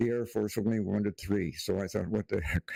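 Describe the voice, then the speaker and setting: Speaking fairly quickly with a Canadian accent, a man uses a fairly low pitch, a dark, mellow tone and fairly even intonation. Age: 80s+. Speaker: retired air force weather technician. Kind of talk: interview. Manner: halting, many fillers.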